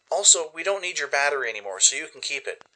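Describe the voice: A man speaks fast in a put-on character voice, his tone bright and sharp and his pitch swinging widely. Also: fairly high pitch for a man.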